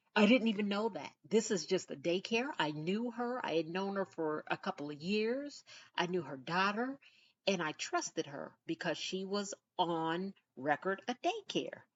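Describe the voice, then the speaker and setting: A woman with lively intonation at a moderate pace. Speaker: podcast host. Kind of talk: casual monologue. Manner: soft-spoken, low-pitched.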